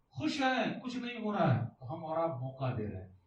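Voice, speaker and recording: This man's fairly high voice moves in very wide pitch swings. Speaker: Islamic scholar giving a lecture. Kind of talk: Urdu religious lecture to a live audience. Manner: lively conversational, addressing the crowd directly.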